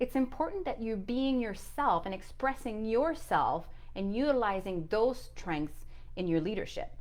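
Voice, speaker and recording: A woman speaks at a fairly slow pace. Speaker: leadership coach. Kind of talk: motivational vlog monologue.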